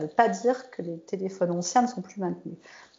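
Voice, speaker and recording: A woman has an unremarkable speaking voice with a medium pitch and ordinary pitch variation. She talks at a fairly quick pace. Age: 40s. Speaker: software developer and IT lead. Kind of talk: casual interview.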